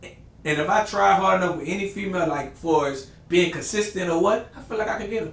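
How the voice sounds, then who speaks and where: A man with a New Orleans accent speaks at a high pitch. Audible room echo and noticeable background noise surround him. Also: ordinary pitch variation, fairly quick pace, hardly any pauses. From New Orleans, Louisiana. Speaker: podcast host. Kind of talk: casual chat.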